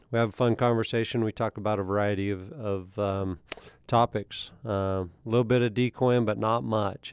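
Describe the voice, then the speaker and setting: At a moderate pace comes a normal speaking voice. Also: man. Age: 40s. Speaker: podcast host, coyote hunter. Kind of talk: scripted intro and outro; casual chat.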